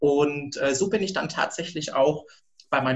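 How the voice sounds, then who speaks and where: With a somewhat breathy quality, the speaker keeps a moderate pace and ordinary pitch variation. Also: man. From rural Germany. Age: 30s. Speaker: HR recruiter, former hotel worker. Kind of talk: interview.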